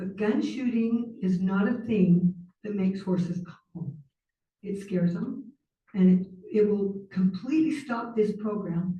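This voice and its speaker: A somewhat breathy woman with an American accent and a dark, mellow tone, at a fairly slow pace. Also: medium pitch for a woman, ordinary pitch variation. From Utah. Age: 60s. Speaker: public commenter. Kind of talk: public comment at council meeting. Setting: city council meeting.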